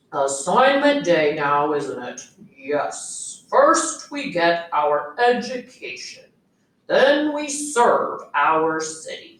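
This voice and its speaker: A woman performs a put-on character voice, high in pitch with very wide swings. She speaks at a very slow pace, with a slight echo around her. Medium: read story. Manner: clipped, pompous, halting.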